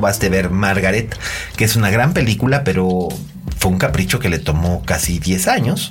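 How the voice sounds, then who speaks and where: The room echo is audible. Background noise is noticeable. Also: man. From Mexico, Monterrey. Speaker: film critic podcast host. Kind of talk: casual chat.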